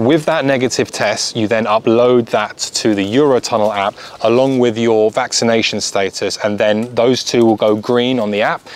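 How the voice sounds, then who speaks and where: A man speaks at a moderate pace with fairly even intonation and very even loudness, in a dry sound with no echo. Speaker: car vlogger. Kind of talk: advice talk to camera. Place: garden.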